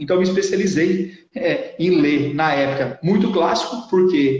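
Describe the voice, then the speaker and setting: A high-pitched man with a São Paulo interior accent, amid audible room echo and noticeable background noise. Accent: Brazilian, São Paulo interior (caipira r). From interior of São Paulo state, Brazil. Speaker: literature teacher and booktuber. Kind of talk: casual interview chat.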